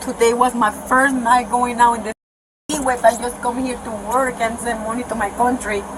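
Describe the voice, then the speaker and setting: In a Spanish accent, a woman speaks at a high pitch and a fairly quick pace with monotone, flat intonation. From Nicaragua. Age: 20s. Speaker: detained woman at police scene. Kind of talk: police body cam confrontation. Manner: agitated, emotional.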